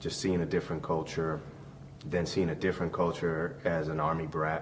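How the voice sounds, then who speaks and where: A man's very deep, low voice at a moderate pace with ordinary pitch variation and audible room echo. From Puerto Rico. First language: Spanish. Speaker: army veteran and business founder. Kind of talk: interview.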